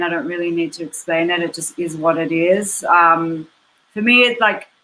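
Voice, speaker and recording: Moderate pace from a woman with an Australian accent and ordinary pitch variation. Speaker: musician. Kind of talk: panel discussion.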